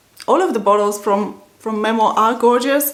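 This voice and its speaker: The woman's fairly slow speech, with its ordinary pitch variation, comes through audible room echo and noticeable background noise. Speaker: perfume reviewer. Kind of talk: casual review to camera.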